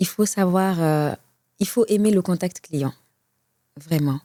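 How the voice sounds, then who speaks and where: Her voice, a woman's, has a dark, mellow tone. The recording is very clean with a silent background, and the sound is dry and close with no echo. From Senegal. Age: 40s. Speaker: customer service advisor. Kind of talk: interview.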